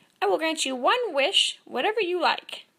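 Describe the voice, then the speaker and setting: Using a put-on character voice, a woman sounds squeaky at an extremely high pitch and keeps a moderate pace. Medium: read story. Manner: fussy, rambling.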